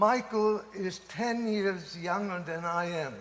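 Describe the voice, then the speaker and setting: Speaking at a very slow pace, a man talks with a German accent. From Germany. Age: 80s+. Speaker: professor. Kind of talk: speech. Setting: conference audience.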